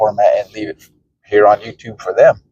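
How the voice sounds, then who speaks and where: A man's dark, mellow tone, somewhat breathy, in monotone, flat intonation at a moderate pace. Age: 40s. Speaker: retired vlogger. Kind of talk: casual vlog talk. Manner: halting, with fillers.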